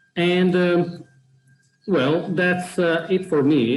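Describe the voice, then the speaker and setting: Speaking in an Italian accent, a man talks. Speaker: program organizer presenting a platform. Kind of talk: webinar presentation. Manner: hesitant, many fillers.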